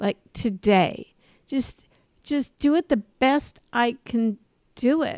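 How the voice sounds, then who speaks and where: Speaking very slowly, a woman with an American accent has a high pitch and ordinary pitch variation. The sound is dry and close, with no echo. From Los Angeles, US. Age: 60s. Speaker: podcast host, comedy and career coach. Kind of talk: casual chat.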